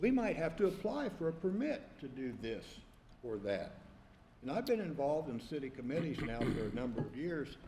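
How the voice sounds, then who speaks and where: A man speaks at a moderate pace with a fairly high pitch and very wide pitch swings. His tone is dark, mellow and somewhat breathy, with audible room echo. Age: 70s. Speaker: zoning board member. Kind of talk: board discussion. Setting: public meeting.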